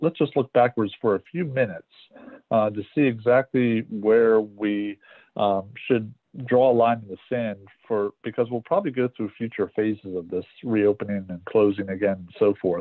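Against a quiet background with dry sound and no echo, a man speaks in a normal speaking voice at a fairly low pitch, a moderate pace and ordinary pitch variation. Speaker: meeting facilitator. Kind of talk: meeting presentation. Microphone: video call.

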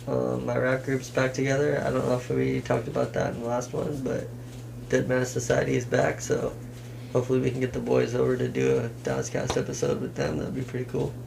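Over noticeable background noise, a man with an American accent talks at a fairly quick pace. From Washington state, US (Kitsap area); Washington. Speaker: rapper; podcast guest. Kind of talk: casual chat. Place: home room. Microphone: camera far.

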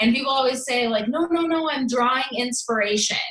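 Audible room echo follows this woman as she talks. Her pitch varies in an ordinary way. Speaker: fitness business coach, former teacher. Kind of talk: training talk. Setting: video call. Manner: fast, casual, energetic. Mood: earnest, candid. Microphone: video call.

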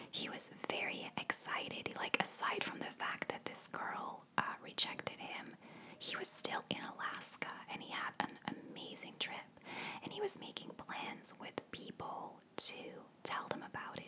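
Someone whispers at a moderate pace. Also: woman. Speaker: ASMR storyteller. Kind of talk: soft-spoken true crime narration. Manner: soft-spoken close-mic ASMR storytelling. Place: home room. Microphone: studio mic.

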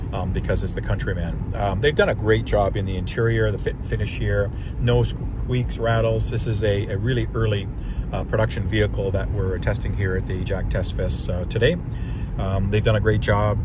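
Over loud background noise, a man speaks at a fairly quick pace in a dry recording with no echo. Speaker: car reviewer driving. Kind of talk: casual review commentary. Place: car.

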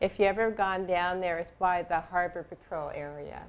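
Here a woman speaks at a moderate pace. Her pitch variation is ordinary. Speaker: interviewee. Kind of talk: interview answer. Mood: warm, enthusiastic. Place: studio. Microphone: lapel.

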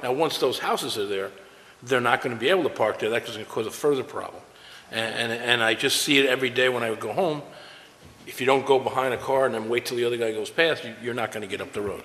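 The speaker talks very fast with fairly even intonation. Light background noise is present. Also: man. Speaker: town board member. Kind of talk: public town board meeting. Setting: town hall meeting with public present. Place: meeting room.

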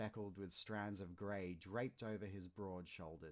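Fairly even intonation in plain reading aloud

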